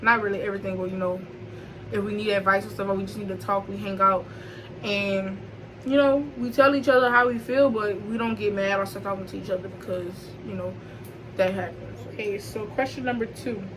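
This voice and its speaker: A woman at a medium pitch and fairly quick pace, ordinary pitch variation, big swings in loudness, and audible room echo. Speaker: YouTuber hosting a chat. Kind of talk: casual chat.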